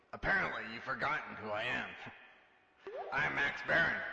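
A man's put-on character voice, fairly high-pitched, at a moderate pace, with a slight echo. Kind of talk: parody of old radio spy drama. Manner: smug, self-important, flirtatious.

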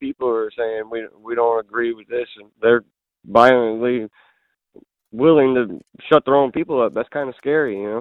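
With an American accent, a man talks at a fairly quick pace and medium pitch, his intonation fairly even but his loudness swinging widely. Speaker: caller. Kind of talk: call-in conversation. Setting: phone call. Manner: casual.

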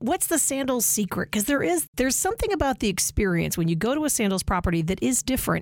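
Noticeable background noise surrounds a woman as she speaks. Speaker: podcast host. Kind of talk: scripted intro and casual interview.

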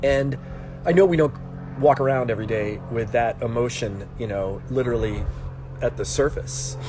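A man's moderately paced speech comes through with noticeable background noise around it. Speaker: life coach. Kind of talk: casual livestream talk. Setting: Instagram live video.

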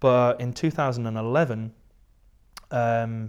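A man speaks with a strong English accent at a medium pitch. The recording is very clean, with a silent background. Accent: English, fairly strong. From southern England. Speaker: entrepreneur, tech company founder. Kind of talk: casual interview chat.

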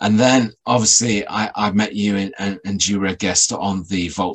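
An ordinary speaking voice moves at a moderate pace with fairly even intonation against a quiet background. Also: man. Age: 40s. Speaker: paranormal researcher and podcaster. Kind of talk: casual interview chat.

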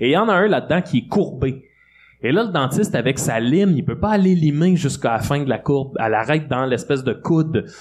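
A man's unremarkable speaking voice, fairly high in pitch, with lively intonation, very even loudness and a fairly quick pace. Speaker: comedian. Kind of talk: casual chat. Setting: stage with audience.

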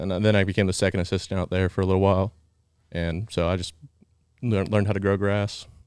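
Over a very clean recording with a silent background, a man speaks very fast in an American accent, his very deep, low voice flat and monotone while its loudness swings widely. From Georgia, US (near Atlanta). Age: 20s. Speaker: ranch intern, former college swimmer. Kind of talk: casual chat.

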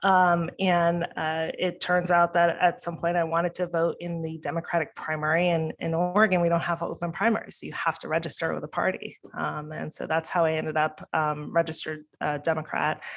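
Speaking at a fairly quick pace, a woman with an American accent has a fairly low pitch and a monotone, flat intonation. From New York. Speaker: political candidate and company CEO. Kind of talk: casual interview. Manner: fluent, conversational.

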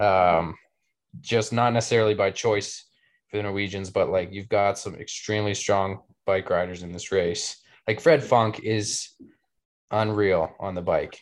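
With an ordinary speaking voice, a man talks at a fairly slow pace and with fairly even intonation on a very clean recording with a silent background. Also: fairly low pitch for a man. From Canada. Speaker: professional triathlete. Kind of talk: casual chat. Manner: relaxed, chatty.

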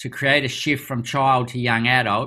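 A man's medium-pitched voice with a bright, sharp tone on a very clean recording with a silent background. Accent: Australian. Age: 50s. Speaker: doctor and youth program founder. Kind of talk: interview.

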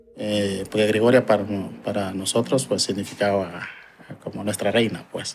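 At a moderate pace, the man talks with a fairly low pitch. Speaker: community land defense committee member. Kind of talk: interview. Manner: hesitant, with fillers.

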